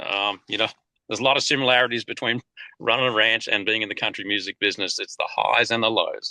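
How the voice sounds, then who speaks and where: Very fast and with an Australian accent, the voice has a bright, sharp tone and fairly even intonation, in a dry, close sound with no echo over a quiet background. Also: man, medium pitch for a man. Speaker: country singer and cattle rancher. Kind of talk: interview.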